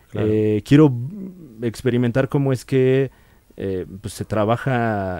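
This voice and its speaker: A man's fairly low voice with ordinary pitch variation at a fairly slow pace, with a dry sound, no echo and a quiet background. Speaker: podcast guest, comedian. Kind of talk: casual chat, podcast interview about comedy. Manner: conversational, laid-back, with frequent fillers and laughs. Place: studio. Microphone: studio mic.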